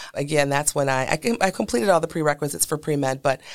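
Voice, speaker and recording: A woman with an American accent and a very deep, low voice speaks at a very fast pace, with vocal fry. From Milwaukee, Wisconsin. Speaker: nurse midwife. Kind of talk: interview, personal story.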